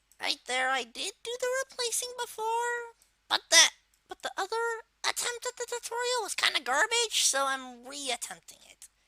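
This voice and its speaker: Someone performs a put-on character voice. It sits at an extremely high pitch and keeps a moderate pace. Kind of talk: software tutorial narration. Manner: casual, hesitant.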